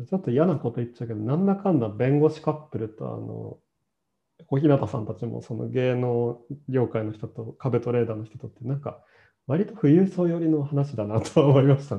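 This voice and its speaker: A man talks at a fairly quick pace with a medium pitch and lively intonation. His voice is somewhat breathy, with big swings in loudness. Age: 30s. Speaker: podcast host. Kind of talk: casual chat. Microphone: no microphone, hard to hear.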